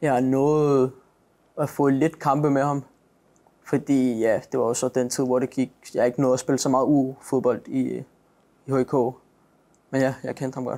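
A man's medium-pitched, dark, mellow voice, monotone and flat, at a fairly slow pace with long, frequent pauses, on a very clean recording with a silent background. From Denmark, Greve near Copenhagen. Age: 20s. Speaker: professional footballer. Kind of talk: interview. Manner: halting.

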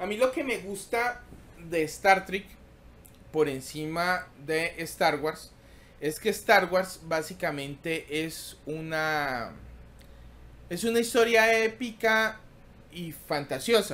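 Speaking at a very slow pace with long, frequent pauses, a man uses a high pitch and lively intonation. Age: 40s. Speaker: tech YouTuber hosting a livestream; tech livestream host. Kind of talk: casual live stream chat reading tech news; casual livestream chat. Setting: live stream. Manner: halting, many fillers and repetitions. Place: home room. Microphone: webcam.

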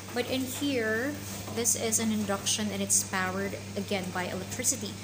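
Noticeable background noise behind a woman at a moderate pace. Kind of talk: tutorial. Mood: friendly and helpful. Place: kitchen. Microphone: phone near.

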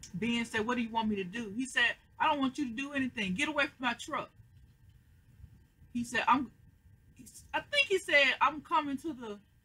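With a raised, projected voice and a bright, sharp tone, a woman speaks with ordinary pitch variation. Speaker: TV show reaction vlogger. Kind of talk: casual vlog chat recapping an episode. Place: home room. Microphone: webcam.

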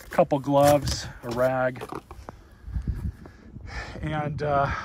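The background noise is loud. A man talks through it. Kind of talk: tutorial. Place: garden. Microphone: phone near.

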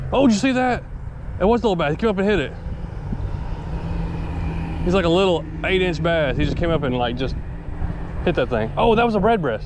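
The speech comes very fast, with very wide pitch swings. The sound is dry with no echo, though there is noticeable background noise. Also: man, high pitch for a man. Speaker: angler vlogger. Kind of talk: casual vlog chat. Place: waterside. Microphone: camera far.

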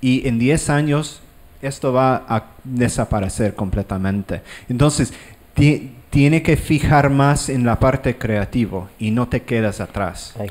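The man talks at a fairly slow pace with ordinary pitch variation. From Ireland. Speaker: digital artist; panelist. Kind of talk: panel discussion. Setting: stage with audience. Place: hall. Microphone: handheld.

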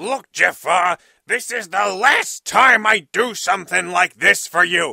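A man's high, raised and projected voice at a fairly slow pace. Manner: crude, exasperated.

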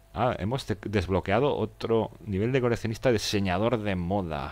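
A man talks at a very slow pace. His pitch is fairly low, with ordinary variation. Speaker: gaming streamer. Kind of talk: live gameplay commentary. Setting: live stream. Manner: halting.

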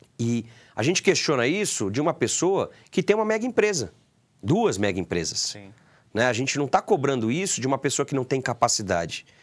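Against a quiet background, a man talks fairly quickly at a medium pitch with vocal fry and very wide pitch swings. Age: 30s. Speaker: football club board member; sports club council member. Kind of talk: interview. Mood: critical, earnest. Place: studio. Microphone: lapel.

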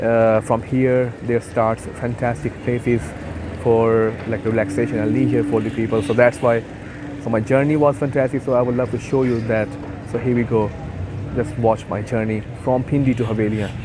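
Over noticeable background noise, a man talks at a moderate pace with fairly even intonation, the sound dry with no echo. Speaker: travel vlogger. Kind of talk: casual vlog chat. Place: station. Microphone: phone near.

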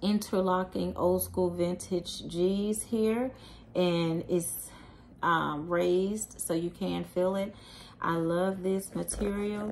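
A woman speaks very slowly in a monotone, flat voice at medium pitch. Light background noise is audible. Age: 40s. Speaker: YouTuber, handbag reviewer; product reviewer. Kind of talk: product review vlog. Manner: casual, with frequent fillers and laughs. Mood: pleased, relaxed. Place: home room. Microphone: phone near.

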